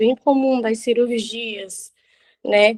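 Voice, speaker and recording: This woman's voice sits at a fairly high pitch. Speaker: physiotherapist. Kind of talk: lecture.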